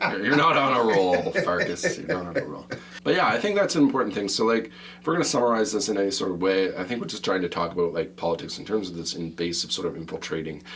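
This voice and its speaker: A man talks at a very fast pace with a fairly low pitch and lively intonation. There is noticeable background noise and audible room echo. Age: old. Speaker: podcast host. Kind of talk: casual chat. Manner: animated.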